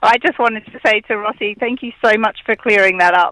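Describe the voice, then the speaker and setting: An Australian accent comes from a woman with a bright, sharp tone and fairly high pitch. Her pace is moderate with ordinary pitch variation, and the sound is dry and close with no echo. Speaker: radio caller. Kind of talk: call-in chat.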